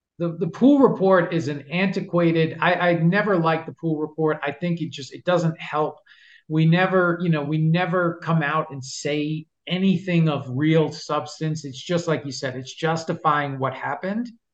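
This man has a New York accent and a fairly high pitch. His intonation stays fairly even at a moderate pace, with a quiet background behind him. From Long Island, New York. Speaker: NFL rules analyst, former officiating executive. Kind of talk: interview. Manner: halting with repetitions.

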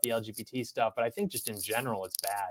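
Talking at a very fast pace, a man speaks in an American accent. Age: 20s. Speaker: YouTuber and commentator. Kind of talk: livestream interview chat.

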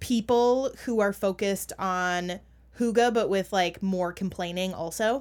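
Speaking at a very slow pace, a woman with an American accent keeps a medium pitch and ordinary pitch variation on a very clean recording with a silent background. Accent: Minnesotan, toned down. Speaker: podcast co-host. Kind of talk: casual chat.

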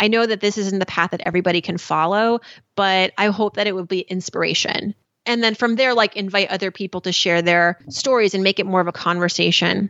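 A woman's ordinary speaking voice with an American accent, medium pitch, a fairly quick pace and fairly even intonation. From US (Iranian American). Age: 40s. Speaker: personal finance journalist and podcast host. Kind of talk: casual chat.

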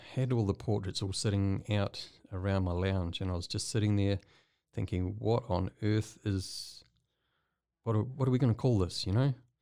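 A New Zealand accent from a man with a fairly low pitch and dark, mellow tone, fairly slow with long, frequent pauses and ordinary pitch variation, in a very clean recording with a silent background. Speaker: artist. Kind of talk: casual interview chat. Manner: halting, filler-heavy.

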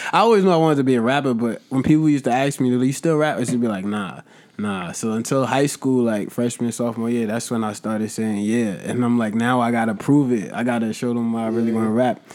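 Hardly pausing, a man talks at a very fast pace and medium pitch with ordinary pitch variation. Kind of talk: casual chat.

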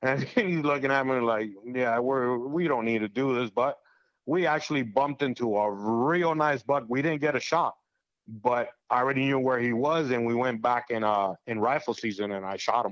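In an ordinary speaking voice with an American accent, the speaker talks at a moderate pace with ordinary pitch variation. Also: man. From Cuba, then Florida from age eight. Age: 40s. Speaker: hunter. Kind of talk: casual chat.

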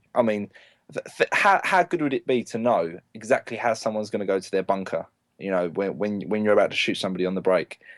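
A man with a London accent speaks at a fairly quick pace and medium pitch. The sound is dry and close, with no echo. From North London, England. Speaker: professional paintball player. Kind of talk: casual chat.

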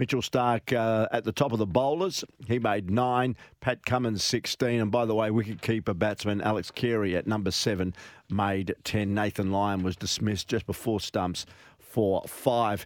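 A man's fairly low voice at a moderate pace, very even in loudness, dry and close with no echo, on a very clean recording with a silent background. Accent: Australian. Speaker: sports radio host. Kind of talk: radio show. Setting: studio.

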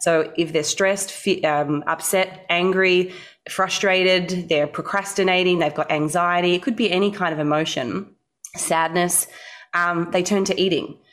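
A woman talks in a normal speaking voice at a moderate pace, with a fairly low pitch. Her intonation is fairly even and her loudness very even. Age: 30s. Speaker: dietitian and bodybuilder. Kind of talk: interview.

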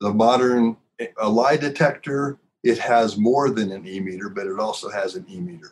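A man's pitch swings very widely as he speaks. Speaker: former Scientology auditor. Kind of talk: casual chat.

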